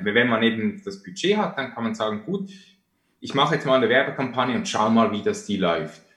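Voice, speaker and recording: A man talks at a moderate pace with very wide pitch swings. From Switzerland. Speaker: online marketing entrepreneur. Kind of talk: interview.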